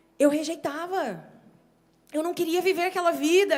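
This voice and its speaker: Her voice is extremely high for a woman. She uses ordinary pitch variation. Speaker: preacher. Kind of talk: sermon.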